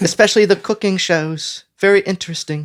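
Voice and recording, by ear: A squeaky, put-on character voice at a middle pitch moves along at a fairly quick pace.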